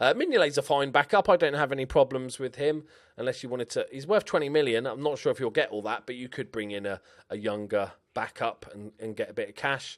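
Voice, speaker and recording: A man speaks very fast at fairly high pitch, with lively intonation and big swings in loudness. The recording is very clean, with a silent background. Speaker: video game YouTuber. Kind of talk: gameplay commentary. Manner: casual, animated.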